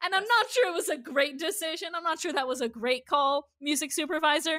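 Speaking in a raised, projected voice, a woman with an American accent has an extremely high pitch and a bright, sharp tone. Her intonation is lively and her pace fairly quick. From Iowa, US Midwest. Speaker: podcast co-host. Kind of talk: casual chat.

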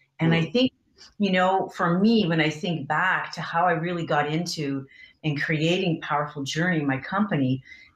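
Ordinary pitch variation at a moderate pace, set in audible room echo. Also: woman. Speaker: guest. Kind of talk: interview answer. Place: home room. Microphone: video call.

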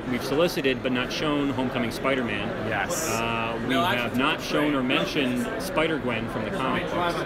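A man talks with ordinary pitch variation at a moderate pace, loud background noise all around. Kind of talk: interview answer, product walkthrough. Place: hall. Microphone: phone near.

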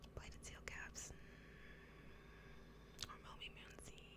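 Loud noise fills the background behind a woman's voice. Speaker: ASMR streamer / gamer. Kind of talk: ASMR gameplay commentary. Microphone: studio mic.

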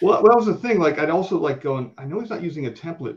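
A somewhat breathy voice with an American accent. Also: man. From Florida. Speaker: comic book artist. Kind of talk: casual chat.

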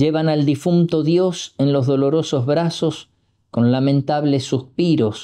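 Over a quiet background, a man talks at a very slow pace with ordinary pitch variation. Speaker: priest. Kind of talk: religious meditation reading with poetry. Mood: solemn, devotional. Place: home room.

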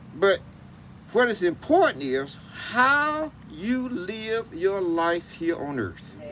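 The speech goes at a very slow pace over light background noise. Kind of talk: graveside sermon with scripture reading. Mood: solemn, measured. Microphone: camera far.

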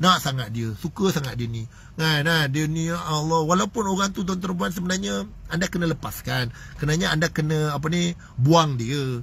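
A man with a fairly high pitch talks in an animated tone with lively intonation. The sound is dry, with no echo. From Malaysia. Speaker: motivational speaker and business coach; motivational speaker, business coach. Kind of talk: live-stream motivational talk. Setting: Facebook live stream. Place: car. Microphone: phone near.

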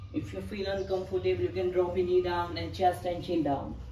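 The tone is calm and the pace moderate. Noticeable background noise runs underneath. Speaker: yoga instructor. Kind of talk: guided yoga class, calm step-by-step cueing of poses and breath. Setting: video workout on a mat. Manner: calm, steady, imperative cues; non-native English, slightly halting phrasing.

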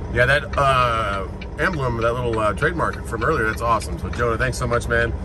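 A man talks at a fairly quick pace. Noticeable background noise is present. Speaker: truck driver vlogger. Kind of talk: casual vlog chat. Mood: grateful, relaxed. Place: car. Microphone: phone near.

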